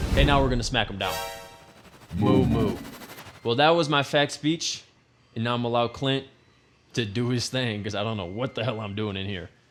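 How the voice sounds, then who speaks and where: Noticeable background noise sits behind a man at medium pitch. He talks at a moderate pace with ordinary pitch variation and long, frequent pauses. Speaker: cooking show host. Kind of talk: casual comedic cooking show with sponsor segment. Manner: animated.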